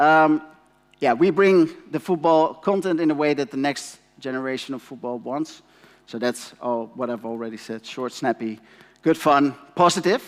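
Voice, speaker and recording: In a Dutch accent, a man with a fairly high pitch talks at a moderate pace with ordinary pitch variation. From Netherlands. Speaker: company representative, conference speaker. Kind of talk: conference presentation. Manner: halting, many fillers.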